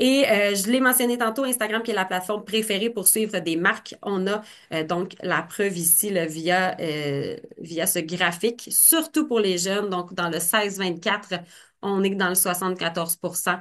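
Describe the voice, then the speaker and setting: Here a woman talks at a fairly slow pace. Her pitch is medium and varies in an ordinary way. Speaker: marketing presenter. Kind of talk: webinar presentation. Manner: hesitant, many fillers.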